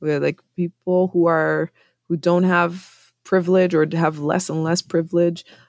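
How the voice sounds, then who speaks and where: A woman with a Canadian accent speaks at a fairly slow pace in a fairly low voice with fairly even intonation. The recording is very clean with a silent background and a dry, close sound with no echo. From Montreal, Quebec. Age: 40s. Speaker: broadcaster and hip-hop artist. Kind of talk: casual interview. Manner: halting.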